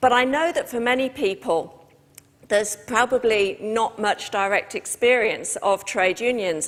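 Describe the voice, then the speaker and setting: Here a woman talks with a British accent. Her pace is moderate and her pitch varies in an ordinary way. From Britain. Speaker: trade union official. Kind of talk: talk to a live audience. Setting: stage with audience.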